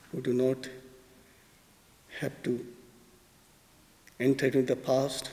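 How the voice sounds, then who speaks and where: The voice has a dark, mellow tone, with a Bengali accent and monotone, flat intonation. It moves at a fairly slow pace with long, frequent pauses. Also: man, medium pitch for a man. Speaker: spiritual teacher. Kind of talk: poetry talk. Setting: concert hall.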